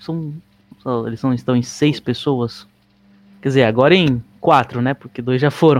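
A man with a medium pitch and fairly even intonation speaks at a moderate pace, leaving long, frequent pauses. Music plays in the background. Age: 20s. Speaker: podcast host. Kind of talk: casual chat.

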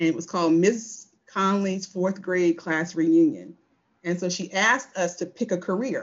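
Here is a woman with an American accent and an ordinary speaking voice. Her pitch is medium, with ordinary pitch variation. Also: moderate pace. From rural southeast Virginia. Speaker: energy company executive. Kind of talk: interview conversation.

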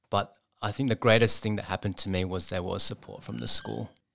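A man with an Australian accent, fairly low in pitch, at a fairly quick pace, on a very clean recording with a silent background. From Sydney, Australia. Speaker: charity rehab centre CEO and ultramarathon runner. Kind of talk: interview. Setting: studio.

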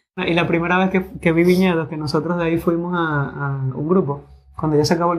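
The man speaks at a moderate pace. His pitch is high. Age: 20s. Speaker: sommelier. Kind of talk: interview.

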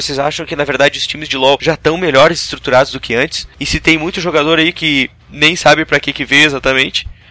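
Over noticeable background noise, a man talks at a very fast pace in a fairly high pitch with ordinary pitch variation. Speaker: gaming podcast host. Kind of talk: casual monologue.

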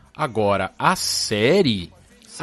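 The speaker goes at a very slow pace with lively intonation. Noticeable background noise can be heard. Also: man. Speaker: podcast co-host. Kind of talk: casual chat.

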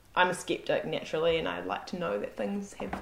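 Noticeable background noise sits behind a woman speaking at a fairly quick pace. Her pitch is fairly low, with very wide pitch swings. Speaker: co-host, voice actress. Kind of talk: casual chat.

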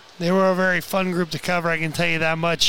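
Over music in the background, a man talks in a high-pitched voice. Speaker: sports play-by-play announcer and interviewer. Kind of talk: live play-by-play sports commentary.

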